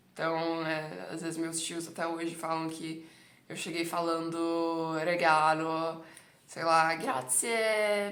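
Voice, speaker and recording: The woman's voice is fairly low in pitch, and the room's echo is audible around her. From Brazil. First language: Italian (speaking Portuguese). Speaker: Italian language teacher. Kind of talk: casual monologue to camera, language coaching.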